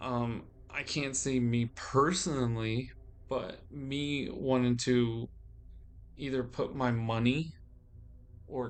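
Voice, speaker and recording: Delivered at a very slow pace with fairly even intonation, the speech has audible room echo. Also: man. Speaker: vlogger. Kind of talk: personal monologue. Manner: halting.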